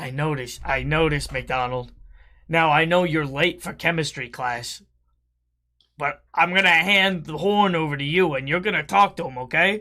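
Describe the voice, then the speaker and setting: A man's raspy, put-on character voice, fairly high in pitch, at a moderate pace on a very clean recording with a silent background. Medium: game stream. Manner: urgent, gruff.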